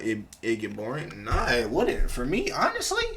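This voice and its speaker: A man's voice amid noticeable background noise. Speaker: livestreamer. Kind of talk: casual chat. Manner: loud; animated.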